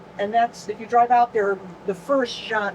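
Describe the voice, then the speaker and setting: The pitch varies in an ordinary way against noticeable background noise. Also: woman. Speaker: tour guide. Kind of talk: guided tour talk.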